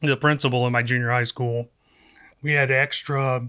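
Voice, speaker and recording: In a slight Southern accent, a man talks at a fairly slow pace with monotone, flat intonation. His voice is medium in pitch, with a bright, sharp tone. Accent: slight southern drawl. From US South, South Carolina. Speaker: radio producer and filmmaker. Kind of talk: casual chat.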